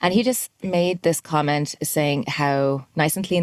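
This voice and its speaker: In an Irish accent, a woman speaks with a very deep, low pitch. Her intonation stays fairly even. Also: dry, close sound with no echo. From Ireland, Dublin. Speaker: musician. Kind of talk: interview. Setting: podcast.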